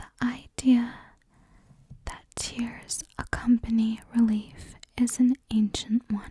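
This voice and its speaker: The tone is gentle. The pace is very slow. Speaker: ASMR creator. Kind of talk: ASMR card reading. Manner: slow, gentle, calming.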